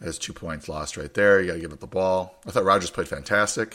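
This man has a low pitch and a gravelly, bright, sharp tone, speaking at a fairly quick pace with ordinary pitch variation.

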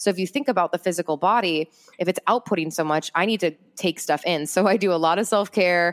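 A woman talks at a very fast pace in a fairly low pitch with very even loudness. The sound is dry and close, with no echo. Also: ordinary pitch variation. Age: 20s. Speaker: entrepreneur and public speaker. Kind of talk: casual interview chat.

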